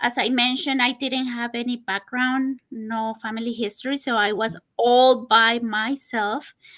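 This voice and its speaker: A woman with a Spanish accent speaks at a moderate pace, high-pitched and bright and sharp in tone, with hardly any pauses. Her intonation is monotone and flat, and the recording is very clean with a silent background. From Costa Rica. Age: 40s. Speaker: person living with diabetes. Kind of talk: interview. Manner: halting.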